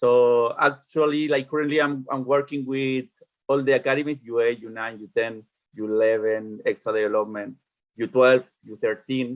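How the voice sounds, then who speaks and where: A man talks with a Spanish accent and fairly even intonation. His loudness swings widely. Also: medium pitch for a man, moderate pace. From Chile. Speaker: youth soccer coach. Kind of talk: online parents meeting.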